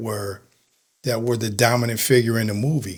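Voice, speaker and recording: A man with an American accent speaks in a normal speaking voice at a moderate pace, with a medium pitch and fairly even intonation. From Connecticut, Bridgeport. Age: 60s. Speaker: retired police officer and author. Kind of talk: interview chat.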